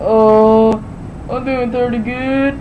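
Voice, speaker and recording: A female-sounding, cartoonish character voice with a fairly high pitch. Clear background noise runs underneath. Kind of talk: puppet voice. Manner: slow.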